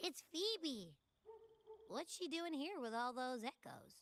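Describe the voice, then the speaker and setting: Pitched high, a put-on character voice unfolds at a fairly slow pace. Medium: video game. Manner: playful, teasing.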